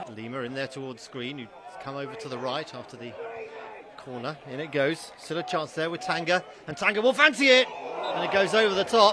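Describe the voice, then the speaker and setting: Animated and fairly high-pitched, a man talks at a fairly quick pace with very wide pitch swings, big jumps in loudness and long, frequent pauses, while background noise is noticeable. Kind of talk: live football commentary. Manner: fast, animated play-by-play delivery, clipped and urgent, rising on chances.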